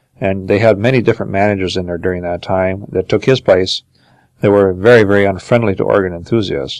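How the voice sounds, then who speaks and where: In an Upper Midwest accent, a man speaks very fast with fairly even intonation and a fairly low pitch. The sound is dry and close, with no echo. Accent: Upper Midwest American. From Minnesota. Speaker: organ builder. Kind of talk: interview answer.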